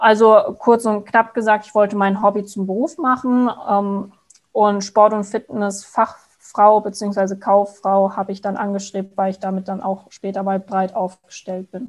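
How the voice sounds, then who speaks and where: A woman has a normal speaking voice at medium pitch. She talks at a fairly slow pace. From Palatinate, Germany (Frankenthal). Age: 20s. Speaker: fitness product manager, former trainee. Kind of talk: podcast interview.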